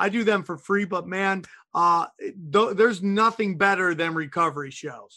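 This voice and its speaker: A man's raised, projected voice, high-pitched and bright and sharp, at a moderate pace in a very clean recording with a silent background. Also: ordinary pitch variation. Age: 40s. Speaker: comedian. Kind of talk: casual chat.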